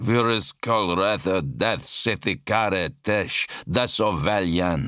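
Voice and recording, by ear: Ordinary pitch movement while reading aloud in a natural voice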